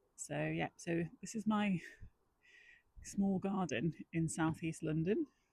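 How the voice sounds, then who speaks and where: A woman's fairly low voice, dark and mellow with vocal fry, very slow with long, frequent pauses and ordinary pitch variation. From northwest England. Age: 40s. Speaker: amateur gardening vlogger. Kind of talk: casual vlog talk. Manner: casual, with many fillers.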